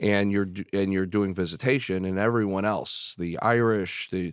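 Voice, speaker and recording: With an American accent, a man talks in a plain, everyday voice at a fairly low pitch with fairly even intonation. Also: very clean recording, silent background. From Chicago. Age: 50s. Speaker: business executive. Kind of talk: casual interview.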